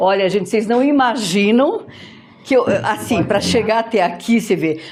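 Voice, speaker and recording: Over noticeable background noise, the speaker has an animated tone and very even loudness. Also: woman, fairly high pitch for a woman, ordinary pitch variation, moderate pace. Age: 60s. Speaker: podcast host. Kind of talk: casual chat. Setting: clinic visit.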